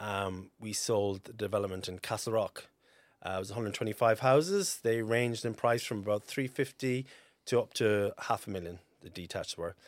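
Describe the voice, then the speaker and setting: A man with a strong Cork accent and a fairly low voice, at a moderate pace with ordinary pitch variation and big swings in loudness, on a very clean recording with a silent background. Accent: Cork Irish, fairly strong. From North Cork, Ireland. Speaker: estate agent. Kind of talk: casual interview chat. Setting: studio. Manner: laid-back, chatty, laughs often.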